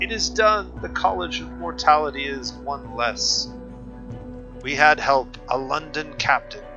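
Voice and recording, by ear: Over clear background music, a man uses a croaky, put-on character voice at a fairly slow pace, his loudness swinging widely.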